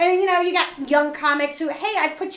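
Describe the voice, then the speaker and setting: A woman with an American accent speaks in an animated tone with ordinary pitch variation. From US Northeast (northeastern New Jersey). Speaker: comedian and comedy producer. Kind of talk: casual interview chat. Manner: chatty, animated.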